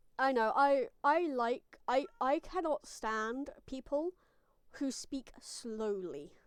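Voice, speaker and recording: Recorded dry and close with no echo, a woman speaks very slowly in a high pitch with lively intonation. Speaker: gaming streamer. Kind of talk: casual live-stream chat. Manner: sometimes muffled.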